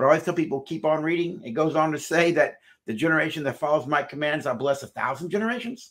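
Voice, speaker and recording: With ordinary pitch variation and a very fast pace, a man speaks while the background stays quiet. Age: 60s. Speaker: marriage counselor and psychologist. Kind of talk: interview. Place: office.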